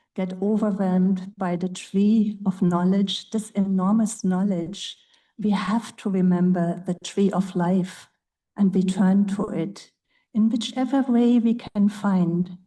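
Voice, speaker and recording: Against a quiet background, a woman with a German accent speaks at a very slow pace with medium pitch. Her voice is somewhat breathy, with a dark, mellow tone and fairly even intonation. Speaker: Zen meditation teacher. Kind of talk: panel talk.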